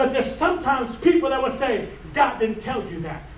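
Over noticeable background noise and audible room echo, a man with an extremely high pitch speaks at a moderate pace with lively intonation. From Cuban heritage. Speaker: preacher. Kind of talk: sermon.

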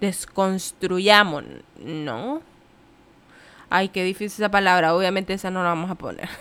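Speaking at a fairly slow pace, a woman has a medium pitch, an animated, bright and sharp tone, and ordinary pitch variation. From Nicaragua. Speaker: podcaster, physician. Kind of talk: casual monologue.

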